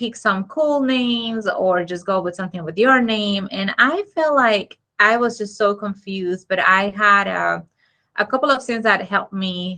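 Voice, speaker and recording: Against a quiet background, a woman with a bright, sharp tone speaks at medium pitch and a moderate pace, with ordinary pitch variation. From Dominican Republic. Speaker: architect. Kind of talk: interview. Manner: hesitant, many fillers.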